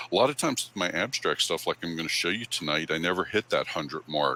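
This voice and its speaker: The man's pitch is very deep and low, yet his tone is bright and sharp. He talks at a fairly quick pace. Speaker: photographer giving club talk. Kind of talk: presentation to camera club. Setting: live stream. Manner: casual, many fillers.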